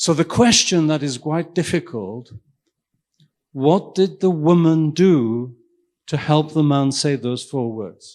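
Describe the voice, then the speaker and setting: A man with a Welsh accent speaks at a very slow pace with a fairly high pitch and lively intonation. The recording is very clean, with a silent background. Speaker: invited keynote speaker, professor and physician. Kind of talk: lecture. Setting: stage with audience. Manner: interactive, questioning the audience.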